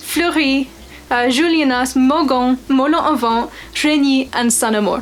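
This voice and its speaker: Against noticeable background noise, a woman with an American accent and a high voice speaks at a fairly slow pace. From United States. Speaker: wine video host. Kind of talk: educational vlog.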